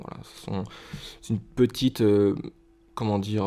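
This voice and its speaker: In a dark, mellow tone, a man with a fairly low pitch talks at a very slow pace. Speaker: trading card collector. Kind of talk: casual talk to camera, card pack opening.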